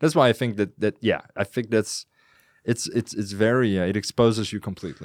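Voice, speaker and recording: A man with a Dutch accent and a fairly low pitch, dry and close with no echo, on a very clean recording with a silent background. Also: ordinary pitch variation, fairly quick pace. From Netherlands. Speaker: podcaster. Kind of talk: casual chat. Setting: studio.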